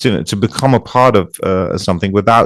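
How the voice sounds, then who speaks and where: A man with a Dutch accent speaks with ordinary pitch variation in a very clean recording with a silent background. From eastern Netherlands. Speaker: DJ and producer. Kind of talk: interview. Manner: halting, many repetitions.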